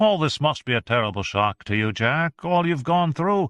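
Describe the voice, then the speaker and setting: The man adopts a put-on character voice, fairly high in pitch and swinging very widely up and down. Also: moderate pace. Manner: soothing, falsely sympathetic.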